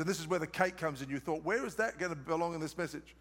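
Speaking in an Australian accent, a man sounds animated. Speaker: preacher. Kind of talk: sermon.

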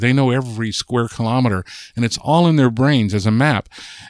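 A man with an American accent talks at a very fast pace, his pitch sitting in the middle range. The sound is dry and close, with no echo at all. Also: very clean recording, silent background. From Southern California. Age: 60s. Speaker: linguist. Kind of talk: interview. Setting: in person.

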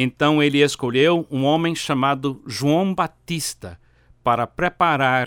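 Very slowly and with an English accent, a man speaks at fairly high pitch with ordinary pitch variation, the sound dry and close with no echo in a very clean recording over a silent background. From United States. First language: English (speaking Portuguese). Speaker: pastor. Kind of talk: sermon.

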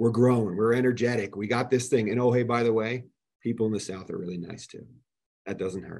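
A man with an American accent and a plain, everyday voice talks at a fairly quick pace and medium pitch. His intonation is fairly even, though his loudness swings widely. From New Jersey. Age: 40s. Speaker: business owner. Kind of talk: casual chat.

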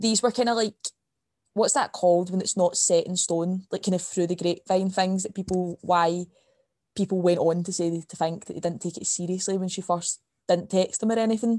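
A woman with a Scottish accent speaks at a fairly quick pace in a medium pitch, with fairly even intonation and a dark, mellow tone. The sound is dry and close with no echo, over a quiet background. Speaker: podcast co-host, university student. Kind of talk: casual chat.

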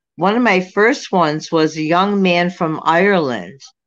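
A woman's fairly low voice, a normal speaking voice, at a fairly slow pace with ordinary pitch variation against a quiet background. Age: 60s. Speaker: psychic medium, former social worker. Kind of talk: casual interview.

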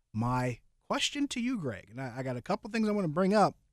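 A man's unremarkable speaking voice, lively intonation at a moderate pace, on a very clean recording with a silent background. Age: 30s. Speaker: sports podcast host. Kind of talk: casual sports talk.

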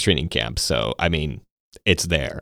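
Heard in a very clean recording with a silent background, a man speaks at a fairly quick pace with vocal fry and an American accent. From Texas (Temple). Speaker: podcast host. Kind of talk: casual chat. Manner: enunciating carefully.

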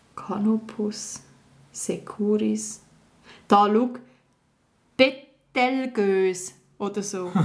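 A woman with a Swiss accent speaks very slowly at a medium pitch, with long, frequent pauses. Her intonation stays fairly even. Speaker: podcast co-host, actress. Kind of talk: casual game-show chat.

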